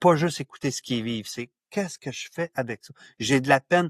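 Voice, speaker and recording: A man speaks at a medium pitch with lively intonation in an unremarkable speaking voice, recorded with a dry, close sound with no echo against a quiet background. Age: 60s. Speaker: author and men's issues pioneer. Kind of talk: podcast interview.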